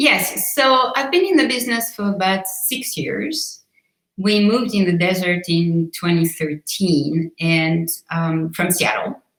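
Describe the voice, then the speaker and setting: A woman with a slight Swiss accent speaks at a fairly slow pace with lively intonation. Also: medium pitch for a woman. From Switzerland. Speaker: real estate agent. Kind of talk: interview.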